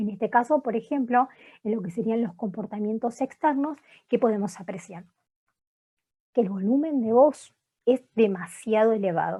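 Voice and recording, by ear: Her voice sits fairly high for a woman, with a dark, mellow tone and a slightly husky edge. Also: ordinary pitch variation, moderate pace.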